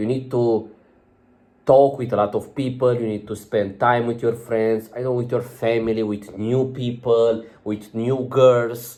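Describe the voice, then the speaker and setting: A man's medium-pitched voice with a non-native accent, dark and mellow in tone, flat and monotone in intonation, at a fairly slow pace. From outside UK and America. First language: not English. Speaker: self-improvement vlogger. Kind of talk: casual vlog monologue. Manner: halting, many fillers.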